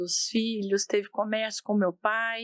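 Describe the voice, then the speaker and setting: A woman's fairly high voice at a very slow pace, in a very clean recording with a silent background and a dry, close sound with no echo. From Brazil, southern Minas Gerais. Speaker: company executive. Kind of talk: interview.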